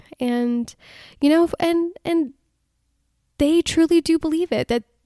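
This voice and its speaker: Pitch varies in an ordinary way as a woman speaks with an American accent. The sound is dry and close, with no echo. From United States, Indian immigrant family. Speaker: podcast host. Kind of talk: personal storytelling monologue.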